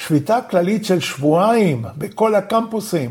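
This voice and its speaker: With a non-native accent, a man speaks at a fairly slow pace in a high pitch with lively intonation. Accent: non-native Hebrew. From Argentina, Buenos Aires. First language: Spanish (speaking Hebrew). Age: 70s. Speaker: professor and human rights activist. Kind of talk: interview.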